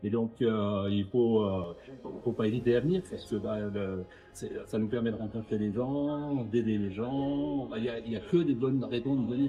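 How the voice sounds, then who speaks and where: Music plays behind a man speaking at a moderate pace. His medium pitch shows ordinary variation. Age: 60s. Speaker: charity volunteer. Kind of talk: street interview. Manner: hesitant, many fillers.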